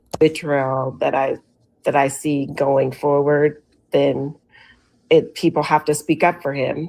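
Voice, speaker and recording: Very deep, low pitch from a woman, delivered at a fairly slow pace. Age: 50s. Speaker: former retail store manager. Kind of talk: interview testimony.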